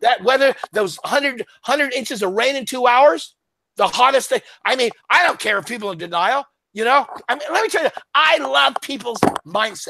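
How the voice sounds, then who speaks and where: A man speaks at a moderate pace in an extremely high, bright and sharp voice, raised and projected, with an animated tone and lively intonation. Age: 70s. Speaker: author and economic commentator. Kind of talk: casual interview chat. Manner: animated, repetitive.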